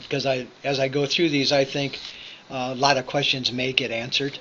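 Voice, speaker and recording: There is noticeable background noise behind this man. His intonation is monotone and flat. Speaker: workforce agency business services manager. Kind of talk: online information session presentation. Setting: recorded via computer, presenting remotely. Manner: fast.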